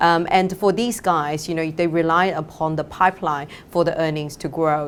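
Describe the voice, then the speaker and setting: In a Chinese accent, a woman talks at a fairly quick pace with fairly low pitch and fairly even intonation. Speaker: fund manager. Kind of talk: interview. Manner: halting, many fillers.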